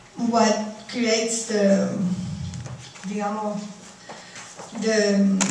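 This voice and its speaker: The speaker talks at a very slow pace with a Cuban accent. Audible room echo and noticeable background noise fill the recording. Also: woman. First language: Spanish. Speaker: artist. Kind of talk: lecture. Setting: stage with audience. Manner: halting.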